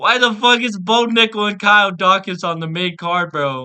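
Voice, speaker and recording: Shouting at a fairly slow pace, a man uses an animated tone and a high pitch, with ordinary pitch variation. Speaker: MMA content creator. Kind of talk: rant. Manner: animated, yelling.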